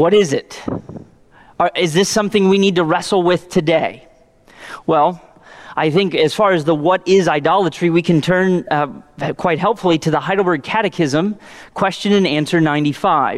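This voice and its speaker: A high-pitched man with an American accent, fairly even intonation and long, frequent pauses, over noticeable background noise. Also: moderate pace, very even loudness. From Indiana, US Midwest. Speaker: pastor. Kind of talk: sermon. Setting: church. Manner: halting, many fillers.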